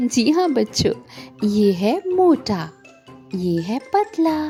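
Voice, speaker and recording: A woman speaks in a high voice with very wide pitch swings. Music plays in the background. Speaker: voice over artist. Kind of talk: children's educational narration.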